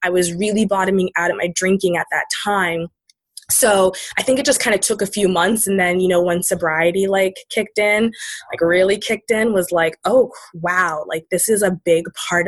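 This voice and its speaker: A woman speaks at a moderate pace in a normal speaking voice, her pitch sitting in the medium range. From Maine, US. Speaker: writer and sobriety advocate. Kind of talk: casual interview.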